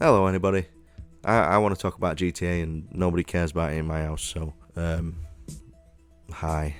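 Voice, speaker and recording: Against music in the background, a man with a very deep, low pitch speaks at a fairly quick pace, with fairly even intonation and long, frequent pauses. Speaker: gaming YouTuber. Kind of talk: casual talk to camera. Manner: rambling, hesitant.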